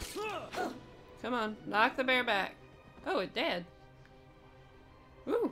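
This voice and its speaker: Music plays behind a woman speaking at a very slow pace in a raised, projected voice with an American accent. Her pitch is high and swings very widely, broken by long, frequent pauses. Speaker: video game streamer. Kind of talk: casual gameplay commentary.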